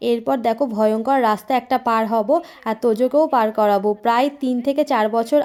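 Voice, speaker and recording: A woman's high-pitched voice with a dark, mellow tone and fairly even intonation. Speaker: vlogger. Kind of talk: casual vlog narration.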